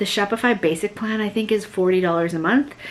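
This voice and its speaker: A woman speaks at a medium pitch with ordinary pitch variation, noticeable background noise behind her. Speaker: vlogger and small online shop owner. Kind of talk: casual vlog talk to camera. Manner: animated; fast.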